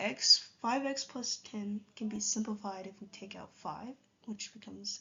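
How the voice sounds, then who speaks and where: A plain, everyday voice from a woman, fairly high in pitch, with ordinary pitch variation. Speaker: math tutor. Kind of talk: tutorial. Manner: casual.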